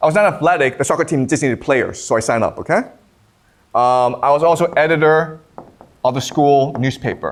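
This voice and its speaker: An unremarkable speaking voice from a man, fairly high in pitch, fairly quick, very even in loudness, with ordinary pitch variation. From Canada. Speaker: professor. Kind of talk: lecture. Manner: casual, frequent 'okay?' checks.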